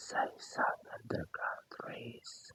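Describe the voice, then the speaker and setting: Someone is whispering at a very slow pace. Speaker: storyteller. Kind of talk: sleep story / ASMR storytelling. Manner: whispered, soft.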